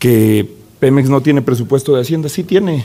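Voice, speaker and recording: Ordinary pitch movement from a man talking fairly fast. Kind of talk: parliamentary speech. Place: hall. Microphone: podium.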